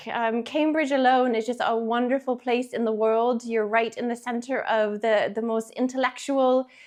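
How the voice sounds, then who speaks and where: Against a quiet background, a woman with an American accent speaks at a fairly high pitch. Her pace is moderate and her intonation fairly even. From Canada, Toronto, Ontario. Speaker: school head teacher. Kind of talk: interview answers.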